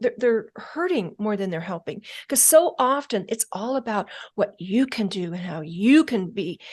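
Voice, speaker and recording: Her pitch swings very widely, sitting fairly high for a woman. The background is quiet. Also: moderate pace. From rural upbringing on a ranch. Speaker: mental toughness expert, former FBI agent. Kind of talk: interview answer. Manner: soft-spoken.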